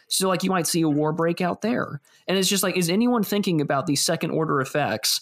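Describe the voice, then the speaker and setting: Against noticeable background noise, a man speaks very fast with ordinary pitch variation. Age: 20s. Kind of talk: casual chat.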